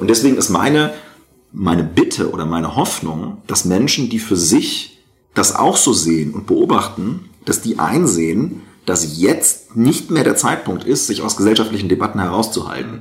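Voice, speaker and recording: At a moderate pace, a man speaks in a fairly low pitch with very wide pitch swings. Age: 30s. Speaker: member of parliament. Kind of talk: interview.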